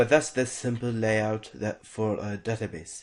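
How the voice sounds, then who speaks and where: A man with a non-native accent talks with ordinary pitch variation. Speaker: programming instructor. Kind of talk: tutorial. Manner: halting, many fillers and restarts.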